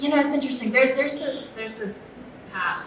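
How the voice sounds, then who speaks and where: Audible room echo and noticeable background noise surround a woman as she speaks. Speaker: film set dresser. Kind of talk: panel discussion. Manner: soft-spoken.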